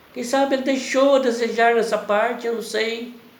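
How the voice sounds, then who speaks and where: There is audible room echo on this recording. The speaker is a man. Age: 60s. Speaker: preacher. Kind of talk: sermon. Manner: halting.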